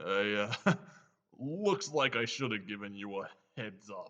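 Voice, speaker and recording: A man puts on a character voice at a medium pitch. His pace is fairly slow. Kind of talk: audio drama acting. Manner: casual, joking.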